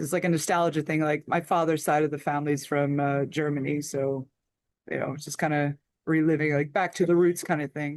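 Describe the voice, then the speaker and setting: A woman with an American accent, very deep and low in pitch, monotone with flat intonation, at a fairly quick pace. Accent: Philadelphia accent, returns when home. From US Northeast, Philadelphia area. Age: 50s. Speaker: heavy metal musician. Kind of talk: interview.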